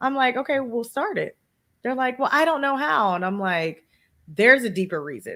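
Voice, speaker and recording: A woman speaks in a bright, sharp tone. The recording is very clean, with a silent background. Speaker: podcaster and podcast coach. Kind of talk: interview. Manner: animated.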